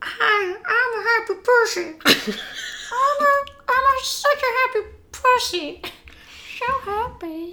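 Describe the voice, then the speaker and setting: An extremely high-pitched put-on character voice at a very slow pace. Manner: cheerful, silly.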